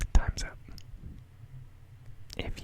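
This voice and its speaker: Noticeable background noise sits behind the voice. A man whispers at a fairly slow pace. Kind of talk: interactive guessing game reading Pokédex entries. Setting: recorded at home late at night. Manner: whispered, soft-spoken.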